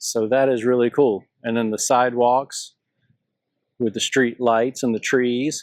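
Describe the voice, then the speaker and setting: A man with a Southern US accent at a medium pitch, monotone and flat, at a fairly slow pace, in a dry, close sound with no echo and a very clean recording with a silent background. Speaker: travel vlogger. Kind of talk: walking tour vlog. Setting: outdoors. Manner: casual, conversational.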